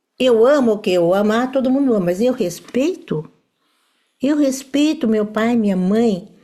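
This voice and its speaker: Her tone dark and mellow, a woman speaks at a fairly high pitch and moderate pace with lively intonation and very even loudness. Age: 70s. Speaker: family constellation teacher. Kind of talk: lecture. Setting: live stream with audience.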